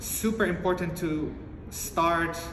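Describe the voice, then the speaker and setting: A man speaks at a high pitch with fairly even intonation. Noticeable background noise runs underneath. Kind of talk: interview answer. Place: home room. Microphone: phone near.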